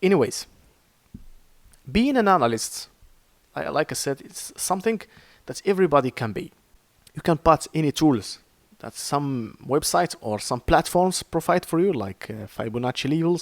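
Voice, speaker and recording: A man with an Arabic accent talks at a moderate pace and fairly high pitch, with very wide pitch swings, big swings in loudness and long, frequent pauses, all recorded dry and close with no echo. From Morocco. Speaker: trading educator. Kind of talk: tutorial. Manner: halting.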